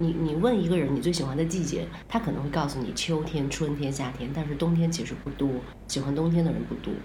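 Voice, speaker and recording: Noticeable background noise sits behind a woman talking at a very fast pace. Her pitch is very deep and low, with ordinary variation. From northern China. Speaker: podcast co-host and counselor. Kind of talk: casual chat.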